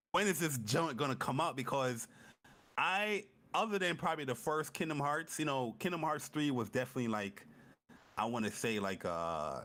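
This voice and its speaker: An animated, fairly high male voice, bright and sharp with vocal fry, very wide pitch swings and very even loudness, on a very clean recording with a silent background. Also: moderate pace. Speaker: gaming podcast co-host. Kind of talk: casual chat.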